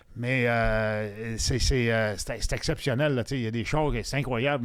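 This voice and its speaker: A man talks at a moderate pace. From Quebec, Longueuil (Montreal South Shore). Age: 60s. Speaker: former NHL hockey player. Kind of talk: casual chat. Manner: halting.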